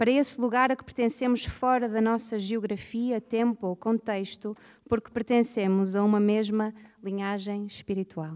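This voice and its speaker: In a quiet setting, a woman speaks at moderate speed, her intonation fairly even. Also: fairly high pitch for a woman. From Portugal. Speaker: panel moderator. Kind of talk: moderated literary panel. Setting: stage with audience. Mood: earnest, reflective. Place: stage. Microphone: podium.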